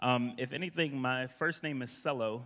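Here a man with an American accent speaks at a medium pitch with ordinary pitch variation. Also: fairly bright tone.

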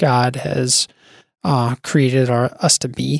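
In a dry, close recording with no echo, a man with an ordinary speaking voice talks at a medium pitch with fairly even intonation. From US Midwest, North Dakota (Bismarck). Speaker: software engineer and church youth leader. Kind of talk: casual chat.

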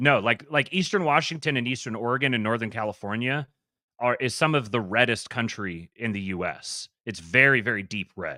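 A bright, sharp tone with an American accent, ordinary pitch variation and a fairly quick pace, on a very clean recording with a silent background and a dry, close sound with no echo. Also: man, medium pitch for a man. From US West Coast, Seattle area. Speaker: YouTube channel host, businessman. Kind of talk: casual chat.

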